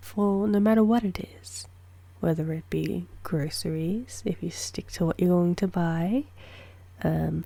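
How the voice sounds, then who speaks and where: A soft-spoken woman talks in a calm tone at a very slow pace. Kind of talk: ASMR soft-spoken chatting to camera. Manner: soft-spoken, calm, slow.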